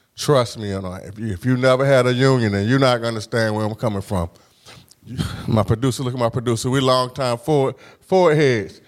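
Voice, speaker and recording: A man with a plain, everyday voice, fairly quick pace, medium pitch and ordinary pitch variation, on a very clean recording with a silent background. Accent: American. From Huntersville, Norfolk, Virginia. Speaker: podcast host and professor. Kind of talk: interview. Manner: casual.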